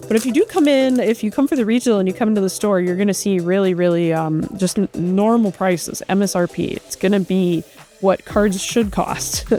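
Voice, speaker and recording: Someone with a Wisconsin accent speaks at a fairly quick pace with hardly any pauses and ordinary pitch variation. Music plays in the background. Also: woman, medium pitch for a woman. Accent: Wisconsin accent, nasal long vowels. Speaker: card shop live-stream host. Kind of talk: live stream box-break chat. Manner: casual, filler-heavy.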